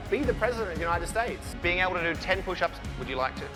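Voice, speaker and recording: A man speaks at a very fast pace. Behind him, music plays. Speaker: keynote speaker. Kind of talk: motivational keynote speech. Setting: conference stage.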